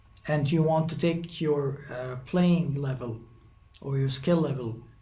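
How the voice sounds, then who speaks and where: A man's fairly high voice with fairly even intonation, amid noticeable background noise and audible room echo. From Egypt. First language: Arabic. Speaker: guitar teacher. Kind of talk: tutorial. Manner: halting, many fillers.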